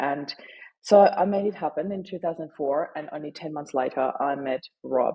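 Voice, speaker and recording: A woman with a German accent speaks in a very deep, low pitch with ordinary pitch variation. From Austria. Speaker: author and grief advocate. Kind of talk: interview testimony.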